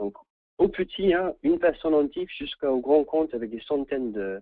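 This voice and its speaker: The speaker has an English accent. The intonation is lively. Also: man. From England. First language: English (speaking French). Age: 30s. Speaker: training consultant. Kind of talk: webinar presentation. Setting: online webinar. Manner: halting, many repetitions.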